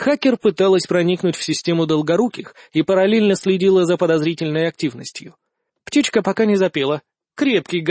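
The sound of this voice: Ordinary pitch variation in an unforced reading voice, quiet background behind it.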